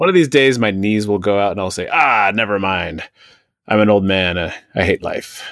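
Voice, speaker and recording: A man talks in an unremarkable speaking voice with an American accent. His pitch is fairly low with ordinary variation, and his pace is moderate. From Washington State, Seattle. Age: 40s. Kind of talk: casual chat.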